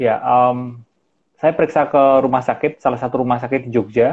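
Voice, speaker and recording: The tone is calm. Delivery comes at a moderate pace. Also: man. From Central Java, Solo. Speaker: mindfulness practitioner. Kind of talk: interview. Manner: halting.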